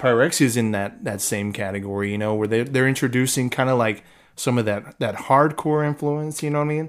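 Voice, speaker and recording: A man with a normal speaking voice talks fairly quickly at medium pitch, with ordinary pitch variation. The recording is very clean, with a silent background. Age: 30s. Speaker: death metal guitarist. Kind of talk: casual interview chat.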